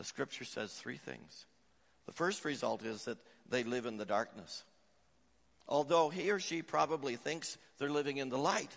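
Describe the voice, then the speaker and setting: A man with vocal fry speaks at a moderate pace with lively intonation. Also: fairly high pitch for a man. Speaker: pastor. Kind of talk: sermon. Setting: church.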